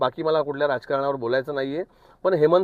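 Using an unremarkable speaking voice, a man with a fairly high pitch keeps his intonation fairly even. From Wada, Palghar district, Maharashtra. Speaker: concerned citizen. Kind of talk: public appeal to voters.

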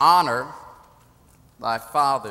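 Animated in tone, a man talks with ordinary pitch variation. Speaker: preacher. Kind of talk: sermon. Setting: church. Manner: animated call-and-response preaching, urging the congregation to answer. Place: church. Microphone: podium.

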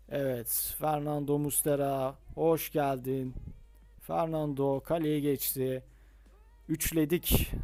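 The very clean recording, with a silent background, carries a man's fairly high-pitched voice in a dark, mellow tone. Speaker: mobile gaming YouTuber. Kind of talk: gameplay tutorial commentary. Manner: casual, many filler hesitations.

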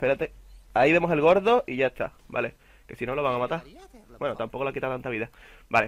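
A man speaks at a very fast pace, with long, frequent pauses. His loudness swings widely. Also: fairly high pitch for a man, ordinary pitch variation. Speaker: gaming youtuber. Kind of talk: gameplay commentary. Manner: casual, halting.

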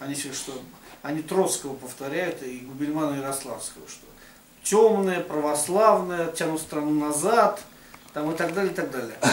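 A man's fairly high voice at a moderate pace, with ordinary pitch variation, big swings in loudness and long, frequent pauses, plus light background noise and audible room echo. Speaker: religious writer. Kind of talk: casual discussion. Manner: halting. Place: meeting room. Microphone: camera far.

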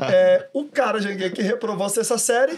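Over a quiet background, a man talks with a high pitch. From Federal District, Brazil. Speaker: motivational speaker. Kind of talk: casual interview chat. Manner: animated. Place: studio. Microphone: studio mic.

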